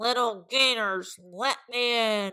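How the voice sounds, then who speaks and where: Over a silent background in a very clean recording, a woman does a put-on character voice at a fairly high pitch and a very slow pace. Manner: menacing, coaxing.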